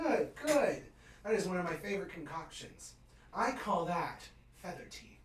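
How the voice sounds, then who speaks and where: A man puts on a character voice at a high pitch, with a moderate pace. He leaves long, frequent pauses, and there is a slight echo. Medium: actual play. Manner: mellow, casual, dude-speak.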